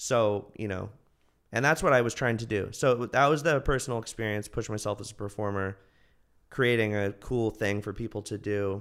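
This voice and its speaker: A man speaks at a moderate pace in a fairly low pitch, his intonation fairly even. The recording is very clean, with a silent background. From Northern California, US. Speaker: comedian. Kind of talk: casual chat.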